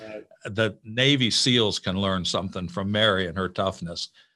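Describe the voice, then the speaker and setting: Against a quiet background, a man with an American accent speaks at a fairly low pitch and a fairly slow pace, his pitch varying in an ordinary way. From Illinois, US Midwest. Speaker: ministry president and author. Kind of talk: interview conversation.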